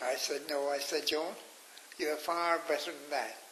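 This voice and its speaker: A man with a Cork accent speaks in a fairly high, monotone, flat voice, with audible room echo and noticeable background noise. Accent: Cork Irish. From Ireland, Cork. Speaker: pilgrimage leader. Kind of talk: radio interview storytelling.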